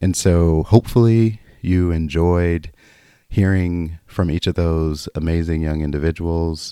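In a very clean recording with a silent background, a man with a very deep, low pitch and a dark, mellow tone speaks fairly slowly with fairly even intonation. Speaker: podcast host. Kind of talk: podcast host intro and commentary.

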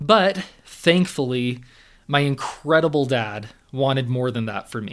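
With a Californian accent, a man talks at a fairly slow pace, his intonation lively and his loudness swinging widely. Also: medium pitch for a man. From Southern California. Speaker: mental performance coach. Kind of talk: monologue podcast storytelling.

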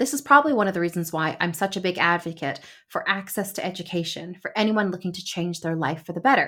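With a Canadian accent, a woman at a medium pitch talks at a very fast pace with hardly any pauses, lively intonation and a bright, sharp tone, on a very clean recording with a silent background. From Canada, Toronto suburbs. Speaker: podcast host and lawyer. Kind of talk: solo podcast monologue.

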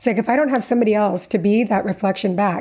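Her voice somewhat breathy and dark, mellow in tone, a woman speaks at medium pitch. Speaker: podcast host. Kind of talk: interview, conversational.

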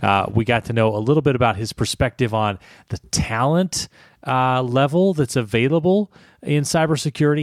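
A man with a normal speaking voice in a dry, close recording with no echo, a very clean recording and a silent background. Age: 40s. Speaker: podcast host, communications professional. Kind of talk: scripted intro; interview.

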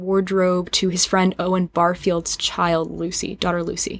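A woman talks at a moderate pace in a medium pitch. She has an ordinary speaking voice. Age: 20s. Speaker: podcast guest, singer. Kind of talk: casual chat.

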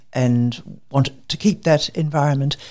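With an Australian accent, a woman speaks fairly slowly at a very deep, low pitch. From Queensland, Australia. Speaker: medical researcher. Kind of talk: interview.

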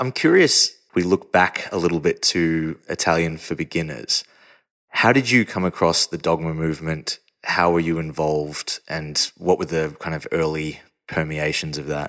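Very deep and low in pitch, a man speaks at a moderate pace with ordinary pitch variation, in a dry, close sound with no echo and a very clean recording with a silent background. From not Denmark. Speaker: podcast host. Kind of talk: interview.

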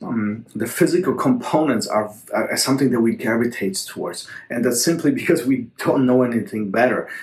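Noticeable background noise sits behind a man speaking at a fairly quick pace. His medium pitch moves with lively intonation. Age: 40s. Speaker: jiu-jitsu coach and podcast host. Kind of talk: solo podcast monologue answering a listener question. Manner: halting, with many fillers and repetitions.

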